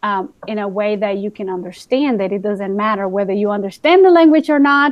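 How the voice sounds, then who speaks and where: With a Spanish accent, a woman speaks in a fairly high voice with lively intonation. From Guatemala. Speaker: teacher. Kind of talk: casual chat. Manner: animated.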